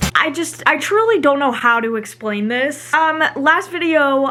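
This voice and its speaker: A woman's raised, projected voice at a fairly slow pace, with ordinary pitch variation. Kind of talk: casual storytime talk to camera.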